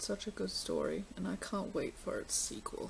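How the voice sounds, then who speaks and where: Mumbling at a moderate pace, a woman speaks with an Australian accent. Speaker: book vlogger. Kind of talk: casual vlog.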